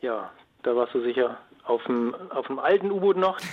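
Using lively intonation, a man talks at a moderate pace in a medium-pitched voice.

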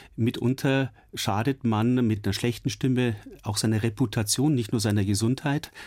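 An ordinary speaking voice moves at a moderate pace with fairly even intonation and very even loudness. The recording is very clean, with a silent background. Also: man, medium pitch for a man. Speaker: ENT doctor specialising in voice. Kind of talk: expert interview. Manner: explanatory.

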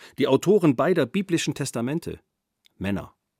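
A man's fairly high voice with vocal fry and lively intonation, at a moderate pace, dry and close with no echo, on a very clean recording with a silent background. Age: 50s. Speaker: author and narrator. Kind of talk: scripted narration.

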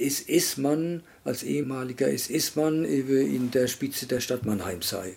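Here a man talks at a very slow pace. His fairly high voice has a dark, mellow tone. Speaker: son of a concentration camp survivor. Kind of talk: interview testimony.

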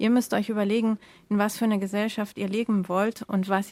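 At a fairly quick pace, a woman with an unremarkable speaking voice talks in a medium pitch with fairly even intonation, the sound dry and close with no echo. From Germany. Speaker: editor-in-chief. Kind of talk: casual chat. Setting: remote connection.

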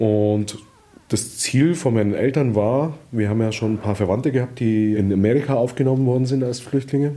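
Noticeable background noise sits behind a man whose voice has a medium pitch. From southern Germany (Allgäu, Bavaria), born in Vietnam. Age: 40s. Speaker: refugee and father, media worker. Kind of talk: casual chat. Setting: at home. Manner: talkative, fast.

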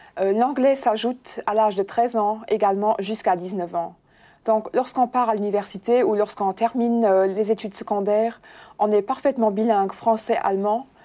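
In a very clean recording with a silent background, a woman with a Luxembourgish accent speaks at a moderate pace, her fairly high-pitched voice dark and mellow in tone. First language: Luxembourgish (speaking French). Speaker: bank press officer. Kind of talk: interview.

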